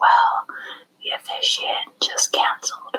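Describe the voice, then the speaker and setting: The speaker is a woman, whispering. Her pace is fairly slow. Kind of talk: ASMR true crime recap. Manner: whispered; casual, rambling.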